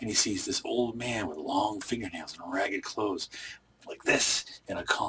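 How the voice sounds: The delivery is a natural reading voice. Pitch holds fairly even throughout.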